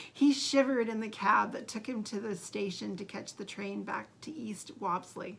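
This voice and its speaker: A woman puts on a raspy character voice at a fairly high pitch. She keeps a moderate pace with hardly any pauses. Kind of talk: read-aloud storytelling. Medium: read story. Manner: casual, stumbling, amused.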